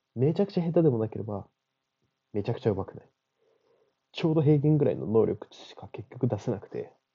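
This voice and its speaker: Very fast and somewhat breathy, the speech has very wide pitch swings, big swings in loudness and long, frequent pauses. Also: man, medium pitch for a man. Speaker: podcast host. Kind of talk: solo monologue. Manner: casual.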